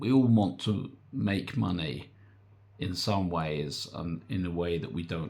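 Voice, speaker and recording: Lively intonation and vocal fry mark this man's very deep, low voice. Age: 60s. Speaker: online business coach. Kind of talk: casual vlog talk. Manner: hesitant, filler-heavy.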